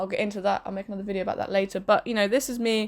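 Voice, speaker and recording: A London accent over a very clean recording with a silent background. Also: woman. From London and southern England, partly raised in Spain. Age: 20s. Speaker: podcaster and pub manager. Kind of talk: casual vlog monologue. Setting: bedroom.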